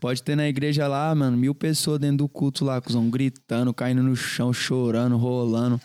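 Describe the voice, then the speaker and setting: A man's medium-pitched voice with a dark, mellow tone, flat monotone delivery, moderate pace, hardly any pauses and very even loudness, in a very clean, dry, close recording with no echo and a silent background. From Goiânia, Brazil. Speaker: funk singer. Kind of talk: casual chat.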